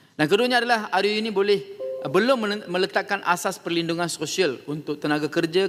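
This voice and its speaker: A man speaks fairly quickly. Behind him, background noise is noticeable. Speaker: member of parliament. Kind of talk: parliament debate speech, formal oratory. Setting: parliament hall. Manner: formal, measured; earnest, persuasive, rounding off with a polite closing appeal.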